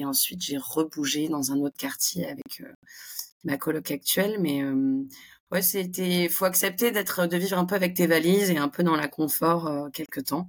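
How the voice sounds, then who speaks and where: With a normal speaking voice, a woman talks at a moderate pace in a fairly low pitch, her intonation lively. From southern France (Montpellier). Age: 20s. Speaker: expat business school graduate. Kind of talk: casual interview.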